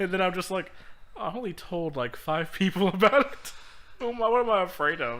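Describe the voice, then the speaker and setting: Bright and sharp in tone, a man speaks at a high pitch and a fairly quick pace with lively intonation. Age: 20s. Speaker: podcast co-host. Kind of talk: casual chat.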